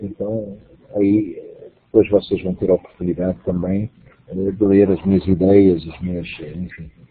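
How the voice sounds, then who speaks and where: Speaking fairly slowly, a man with a very deep, low pitch talks in a monotone, flat intonation. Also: big swings in loudness. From Portugal. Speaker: university lecturer and course coordinator. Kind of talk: online lecture. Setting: web conference.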